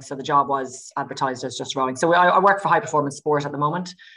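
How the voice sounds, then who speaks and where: A woman with an Irish accent speaks in a very deep, low pitch. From Ireland. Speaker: sports scientist. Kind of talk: podcast interview. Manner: hesitant, many fillers.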